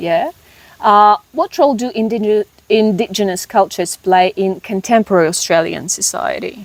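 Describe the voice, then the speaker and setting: Recorded in a dry, close sound with no echo, a woman with an unremarkable speaking voice talks at a moderate pace, medium pitch and ordinary pitch variation. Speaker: migration coach. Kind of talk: interview questions.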